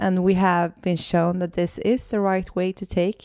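With a Swedish accent, a woman speaks at a fairly low pitch. The recording is very clean, with a silent background. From Sweden. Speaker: podcast host and holistic coach. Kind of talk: casual conversational podcast chat. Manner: hesitant, searching for English words.

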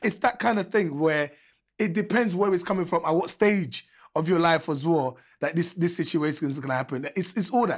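The speech comes at a fairly quick pace on a very clean recording with a silent background. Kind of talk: casual chat.

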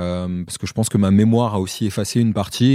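A man speaks at a moderate pace with fairly even intonation and a dark, mellow tone. The recording is very clean, with a silent background. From France, Paris suburbs. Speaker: Paralympic athlete. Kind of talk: interview conversation. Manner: halting.

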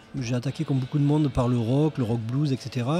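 Over noticeable background noise, a man with a southern French accent talks at a moderate pace in a fairly high pitch. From southern France. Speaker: guitarist. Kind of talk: casual interview chat. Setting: pub table.

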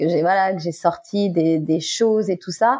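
This woman's dark, mellow tone comes at a fairly slow pace with fairly even intonation. The background is quiet. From Guadeloupe. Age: 40s. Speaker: actress. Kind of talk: testimony.

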